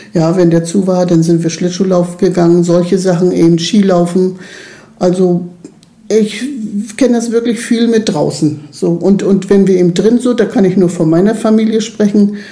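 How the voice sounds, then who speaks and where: Amid noticeable background noise and audible room echo, a woman talks at a moderate pace with fairly even intonation and very even loudness. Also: medium pitch for a woman. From eastern Germany, Lusatia region. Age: 60s. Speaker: youth club worker, former nursery teacher. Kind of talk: interview.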